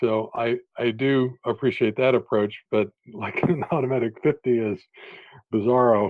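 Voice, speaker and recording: A man with a medium-pitched, plain, everyday voice keeps a moderate pace and fairly even intonation. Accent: American. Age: 50s. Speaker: education author and former school superintendent. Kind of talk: podcast interview.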